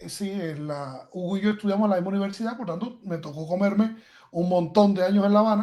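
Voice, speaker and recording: A man's high-pitched voice, dark and mellow in tone, at a very fast pace, with ordinary pitch variation and big swings in loudness. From Guantánamo, eastern Cuba. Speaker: podcast guest, computer scientist. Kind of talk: podcast conversation.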